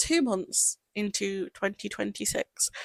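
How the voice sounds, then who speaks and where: With a British accent and lively intonation, a raised, projected voice speaks very slowly in a dry, close sound with no echo. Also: woman. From United Kingdom. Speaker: podcast host. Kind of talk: casual podcast conversation.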